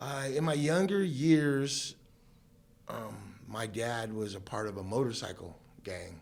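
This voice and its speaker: A very slow, medium-pitched man's voice with a West Coast American accent and lively intonation, in audible room echo. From Southern California. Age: 50s. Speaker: guest sharing life story. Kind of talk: testimony. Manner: casual, many fillers.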